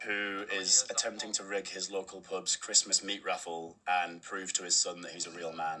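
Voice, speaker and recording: With a Cumbrian accent and a very deep, low pitch, a man talks at a moderate pace in a monotone, flat delivery with hardly any pauses over noticeable background noise. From Carlisle, Cumbria. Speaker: film director. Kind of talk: interview.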